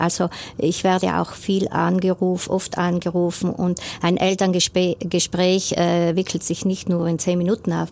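A woman's fairly low voice, monotone and flat, at a fairly slow pace with very even loudness. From South Tyrol, Rodeneck. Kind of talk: radio interview. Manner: hesitant, many fillers.

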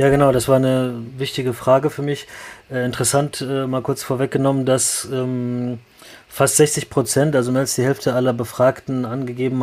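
Speaking at a moderate pace, a man keeps his intonation monotone and flat. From Moscow, then Frankfurt am Main from age seven. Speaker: neurosurgeon and lecturer. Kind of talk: interview.

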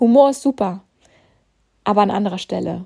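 A woman at a moderate pace, animated in tone. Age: 30s. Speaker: maths tutor and podcast host. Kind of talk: solo podcast monologue.

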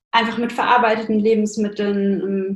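Somewhat breathy, a woman speaks with a fairly high pitch and monotone, flat intonation. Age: 20s. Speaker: nutrition science student and blogger. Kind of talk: casual interview.

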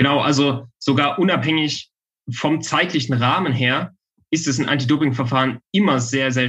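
The voice is a normal speaking voice with fairly even intonation. It moves at a moderate pace. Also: man. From western Saxony, Germany. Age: 20s. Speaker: legal researcher. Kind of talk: interview.

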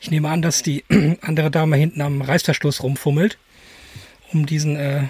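Somewhat breathy and fairly high in pitch, a man speaks at a moderate pace with fairly even intonation and long, frequent pauses. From Germany, edge of the Ruhr area. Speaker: podcast co-host, photographer. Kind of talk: casual chat.

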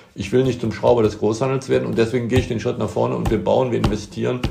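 Noticeable background noise sits behind a man's voice. He has a fairly low pitch and lively intonation. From Bonn, Rhineland, Germany. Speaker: plumbing and heating business owner. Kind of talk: interview. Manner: hesitant, many fillers and repetitions.

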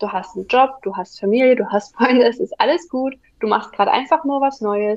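A high-pitched woman's voice, lively in intonation, at a fairly quick pace. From Saxony, near Dresden. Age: 20s. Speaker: virtual assistant. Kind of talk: interview.

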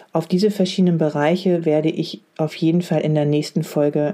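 Dark and mellow in tone, the voice moves at a moderate pace with fairly even intonation. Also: woman, hardly any pauses, very even loudness. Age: 40s. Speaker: leadership coach. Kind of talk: solo podcast monologue.

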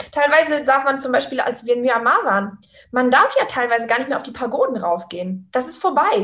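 Her pitch high and her tone animated, a woman talks at a fairly quick pace with lively intonation and big swings in loudness. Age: 30s. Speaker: physiotherapist turned travelling online entrepreneur. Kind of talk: interview.

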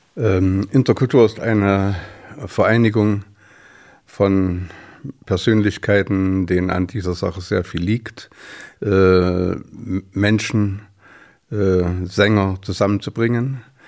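Very slowly and with long, frequent pauses, a man speaks in a fairly low pitch with fairly even intonation. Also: very clean recording, silent background. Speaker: choir festival founder. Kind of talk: casual chat. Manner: halting.

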